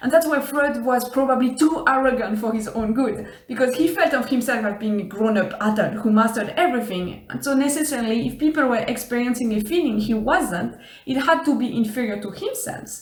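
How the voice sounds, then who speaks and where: A woman with a French accent speaks at a fairly quick pace and a high pitch, with ordinary pitch variation and hardly any pauses. Noticeable background noise runs underneath. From Switzerland. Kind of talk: casual talk to camera.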